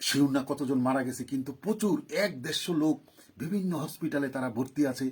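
This man has a fairly high pitch, a somewhat breathy voice and ordinary pitch variation. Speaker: political commentator. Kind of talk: live political monologue. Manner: animated.

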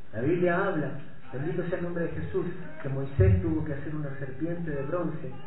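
A man is speaking over loud background noise. The room echo is audible. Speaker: preacher. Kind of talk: sermon. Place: church.

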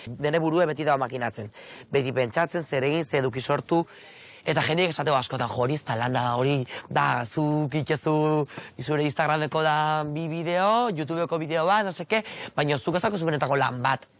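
Recorded dry with no echo, a man talks with ordinary pitch variation. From Basque Country (Azkoitia, Gipuzkoa); Basque Country. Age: 20s. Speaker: content creator. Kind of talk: casual interview. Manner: animated. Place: street. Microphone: lapel.

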